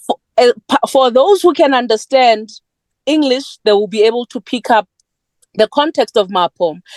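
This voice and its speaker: The recording is dry and close with no echo. A woman with a high pitch talks at a moderate pace with lively intonation. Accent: South African. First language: Sepedi. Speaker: poet. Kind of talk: panel discussion.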